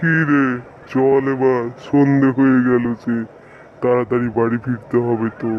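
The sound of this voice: A cartoonish male character voice at a medium pitch, fairly slow and monotone, with flat intonation, very even loudness and clear background noise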